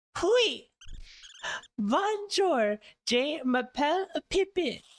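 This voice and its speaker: Using a put-on character voice with a French accent, the speaker talks at a very slow pace and a high pitch. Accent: exaggerated French. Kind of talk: playful, mock-fluent.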